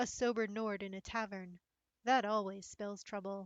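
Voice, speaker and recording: A woman uses a put-on character voice at medium pitch, moving at a moderate pace. Her intonation is monotone and flat, and the sound is dry and close with no echo. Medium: read story.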